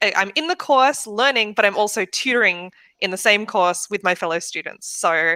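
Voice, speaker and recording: A woman with an Australian accent talks at a moderate pace in a bright, sharp tone with ordinary pitch variation. The sound is dry and close with no echo, on a very clean recording with a silent background. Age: 30s. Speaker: web development student. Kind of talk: casual chat.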